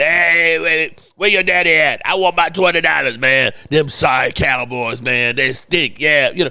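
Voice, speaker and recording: A raspy put-on character voice holds very even loudness. It runs at a moderate pace with hardly any pauses. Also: man, fairly high pitch for a man. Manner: trash-talking, teasing.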